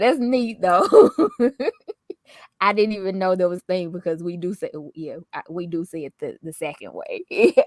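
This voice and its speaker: A woman with a Southern accent speaks at a moderate pace, leaving long, frequent pauses. Her loudness swings widely, and the sound is dry and close with no echo. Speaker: lifestyle vlogger. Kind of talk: casual chat.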